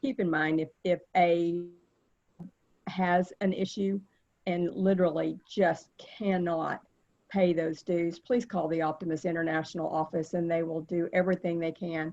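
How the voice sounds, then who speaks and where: Fairly slow and monotone, a woman speaks with flat intonation in a fairly low voice with a dark, mellow tone. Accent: Texas. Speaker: service club officer. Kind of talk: virtual meeting remarks. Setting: video call.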